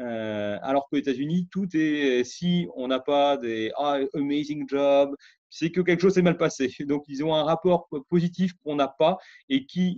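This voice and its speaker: A man speaks at a very slow pace in a fairly high pitch with ordinary pitch variation and big swings in loudness. The sound is dry with no echo, over a quiet background. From France. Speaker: scientist; interviewee. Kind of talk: interview testimony. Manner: halting. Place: home room. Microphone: webcam.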